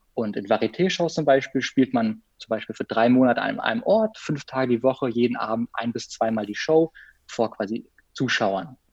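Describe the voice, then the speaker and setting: A man with medium pitch has a plain, everyday voice and ordinary pitch variation. The sound is dry and close with no echo. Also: moderate pace. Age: 20s. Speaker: freelance biographer and photographer, former circus artist. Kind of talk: casual interview.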